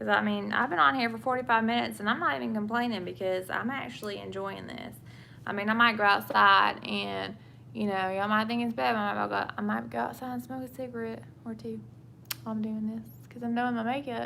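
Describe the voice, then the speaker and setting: In a Southern US accent, a woman with a fairly low pitch and a bright, sharp tone speaks very fast with very wide pitch swings, with audible room echo. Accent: Southern US (Georgia). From England. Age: 20s. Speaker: vlogger. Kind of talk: casual chat. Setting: live stream. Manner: chatty, rambling.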